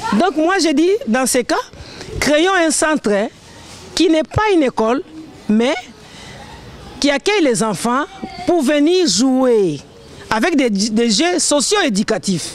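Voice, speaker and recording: A woman's high voice with very wide pitch swings and very even loudness, at a very slow pace with long, frequent pauses, dry with no echo over light background noise. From DR Congo. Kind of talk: speech at a community event. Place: street.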